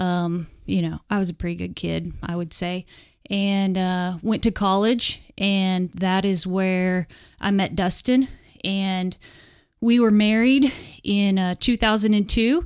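On a very clean recording with a silent background, a woman speaks at a very slow pace. Her intonation stays fairly even. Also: medium pitch for a woman. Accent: American. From Western Oklahoma. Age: 30s. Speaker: disciple-maker, wife and mom. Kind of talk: casual interview. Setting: studio.

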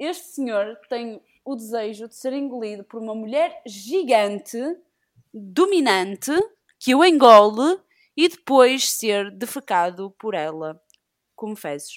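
Very slowly, a woman speaks at a fairly high pitch. Her pitch swings very widely and her loudness rises and falls sharply. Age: 20s. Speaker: podcast guest. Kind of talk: casual chat.

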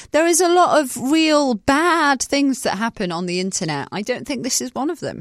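A woman speaks in a northern English accent with very wide pitch swings. The recording is very clean, with a silent background, and the sound is dry and close with no echo. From northern England. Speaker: podcast host. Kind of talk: casual chat.

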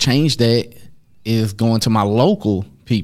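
A man with an American accent speaks at a very slow pace in a medium pitch. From US, inner-city projects. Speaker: podcast co-host. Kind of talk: casual chat.

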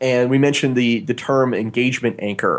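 This man talks at a fairly quick pace in an ordinary speaking voice, pitched in the medium range. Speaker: podcast host and game designer. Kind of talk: casual chat. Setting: studio.

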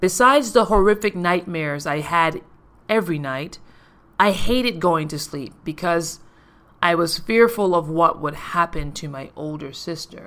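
A woman with an American accent and an unremarkable speaking voice talks at a moderate pace, her fairly low pitch carrying lively intonation. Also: big swings in loudness. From US Virgin Islands, Saint Thomas. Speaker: podcast host and life coach. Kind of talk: personal storytelling monologue.

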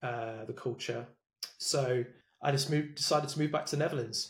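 A somewhat breathy man's voice, fairly high in pitch, with fairly even intonation and an English Midlands accent. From England, Leicester. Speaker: sales development leader. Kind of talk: interview.

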